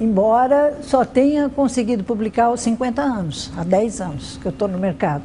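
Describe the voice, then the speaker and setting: The intonation is lively and the pace moderate, with hardly any pauses and noticeable background noise. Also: woman, fairly high pitch for a woman. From Brazil, São Paulo city. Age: 60s. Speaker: writer. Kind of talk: interview testimony.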